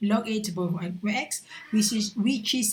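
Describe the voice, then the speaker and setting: Noticeable background noise sits behind the speech. A woman with a Malaysian accent talks with fairly even intonation. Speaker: university lecturer. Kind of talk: recorded lecture. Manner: halting, many fillers.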